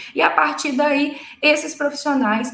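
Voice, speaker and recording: A woman at a fairly slow pace with lively intonation, plus noticeable background noise and audible room echo. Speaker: lawyer. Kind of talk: live legal explainer. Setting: livestream.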